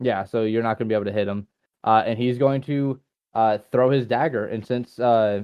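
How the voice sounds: A natural reading voice, the background quiet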